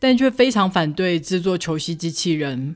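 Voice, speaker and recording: Speaking with a Taiwanese accent, a woman with a fairly low pitch talks at a fairly slow pace with lively intonation in a very clean recording with a silent background. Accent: Taiwanese Mandarin. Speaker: podcast host, book reviewer. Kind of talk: book review narration. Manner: animated.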